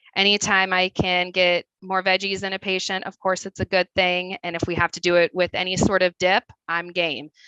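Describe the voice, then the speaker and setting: With a Midwestern accent, a woman speaks in a fairly low, bright and sharp voice, the sound dry and close with no echo over a quiet background. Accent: Midwest. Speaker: registered dietitian. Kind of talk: webinar presentation.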